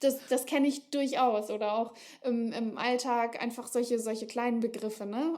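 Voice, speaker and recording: A woman with a dark, mellow tone talks at a fairly slow pace, her fairly high pitch held in fairly even intonation. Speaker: author. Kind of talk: casual chat. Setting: podcast.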